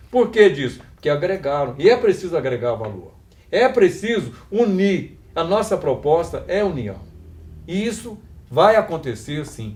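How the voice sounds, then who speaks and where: Very wide pitch swings mark this man's high voice as he talks at a fairly slow pace. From Brazil, Minas Gerais (Passos region). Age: 60s. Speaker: union election candidate, retired teacher. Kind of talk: campaign interview.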